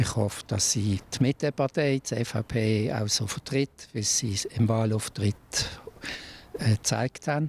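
A man's medium-pitched voice, very slow, with ordinary pitch variation and a dry sound with no echo. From Switzerland, Basel region. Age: 60s. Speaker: local councillor. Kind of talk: interview. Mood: calm, matter-of-fact. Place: street. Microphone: handheld.

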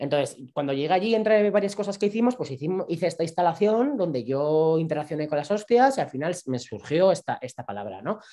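With a Navarrese accent, a man talks fairly quickly at a high pitch with very wide pitch swings, against a quiet background. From Navarre, Spain (Pamplona). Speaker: performance artist. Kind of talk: interview, personal storytelling. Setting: live stream, online video call. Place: home room. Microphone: video call.

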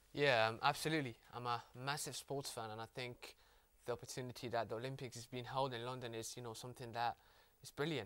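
Over a quiet background, a man talks. His pace is very fast. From Netherlands. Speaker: university student. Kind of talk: casual discussion. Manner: hesitant, many fillers. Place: studio.

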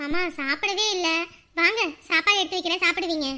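A woman uses a put-on character voice with an extremely high pitch and a bright, sharp tone. She talks at a fast pace with ordinary pitch variation.

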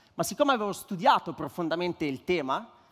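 Against a quiet background, a man speaks in an ordinary speaking voice with ordinary pitch variation. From northern Italy, Varese; northern Italy. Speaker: startup co-founder, tech executive; speaker. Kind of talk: conference speech. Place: stage. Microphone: headset.

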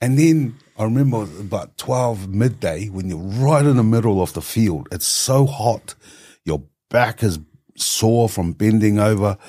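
Against a quiet background, a man talks at a fairly slow pace with a fairly low pitch, a dark, mellow tone and lively intonation. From New Zealand, Tongan-born. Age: 50s. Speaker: economist and policy advisor. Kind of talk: podcast interview. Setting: studio with camera. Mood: reflective, warm storytelling. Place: studio. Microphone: studio mic.

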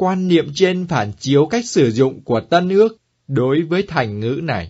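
The voice is somewhat breathy and moves at a very slow pace. Its pitch swings very widely. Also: man. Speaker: liturgy segment presenter. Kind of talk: scripted talk.

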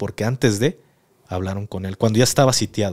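A man with a fairly low pitch against a quiet background. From Mexico. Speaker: podcast host, former soldier; podcast host. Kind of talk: interview. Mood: serious, calm storytelling. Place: studio. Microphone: studio mic.

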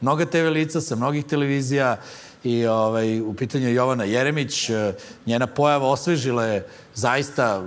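A man speaking at a fairly quick pace, with ordinary pitch variation. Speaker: comedy show host. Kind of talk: comedic monologue commentary. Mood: dry ironic deadpan. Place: studio. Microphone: lapel.

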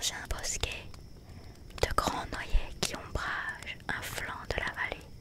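A soft-spoken woman whispering at a very slow pace, dry with no echo, amid loud background noise. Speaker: storyteller. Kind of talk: reading a story aloud. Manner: soft whispered storytelling.

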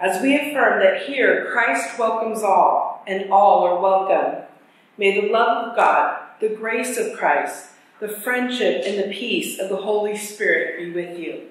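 A woman talks at a fairly slow pace with ordinary pitch variation. Strong room echo surrounds her voice. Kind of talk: formal worship welcome. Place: church. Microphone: camera far.

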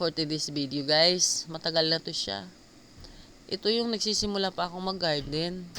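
A woman's fairly low voice at a fairly slow pace, broken by long, frequent pauses. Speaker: gardening vlogger. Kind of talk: vlog narration. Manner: casual, halting with fillers.

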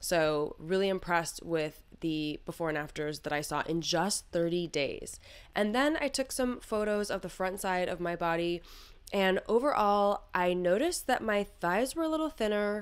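A woman speaks at a moderate pace, her intonation lively. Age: 40s. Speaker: beauty device reviewer. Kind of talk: product review vlog. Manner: animated. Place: studio.

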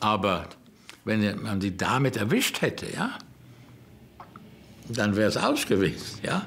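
Speaking at a very slow pace, a man uses a fairly low pitch. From Germany. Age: 80s+. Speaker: rabbi. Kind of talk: documentary interview answer. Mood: reflective, grave. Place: home room.

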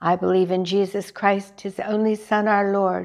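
A quiet background behind a woman's moderately paced voice. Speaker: lay reader leading prayer. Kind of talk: morning prayer service, liturgical reading and fervent prayer. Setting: church chapel, recorded service. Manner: formal, reverent, solemn; fervent, earnest, devotional. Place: church.

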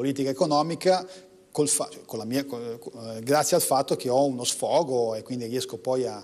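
A man speaks in a northern Italian accent. His pace is moderate and his pitch variation ordinary. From northern Italy, Como; northern Italy. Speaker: economics professor and poet; economics professor, poet. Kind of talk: TV interview. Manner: halting, many restarts. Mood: calm, reflective, warm. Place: studio.

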